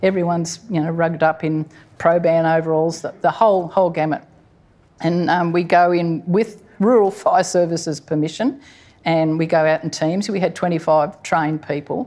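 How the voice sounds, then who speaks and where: With an Australian accent, a woman speaks in a fairly low, dark, mellow voice with fairly even intonation on a very clean recording with a silent background. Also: moderate pace. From Sydney, Australia. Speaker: koala conservationist, wildlife hospital director. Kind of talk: live conversation before audience. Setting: stage with audience, museum hall.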